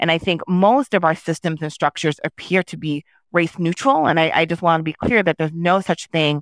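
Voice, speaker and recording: In an American accent, a woman with a plain, everyday voice speaks at a moderate pace and fairly low pitch on a very clean recording with a silent background and a dry, close sound with no echo. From New York, Haitian American family. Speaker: nonprofit executive director. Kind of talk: interview.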